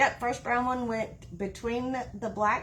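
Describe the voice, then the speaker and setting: The speaker has an American accent, with noticeable background noise behind the voice. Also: woman. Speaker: wreath-making crafter. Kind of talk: live-stream craft tutorial. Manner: halting, stops mid-sentence.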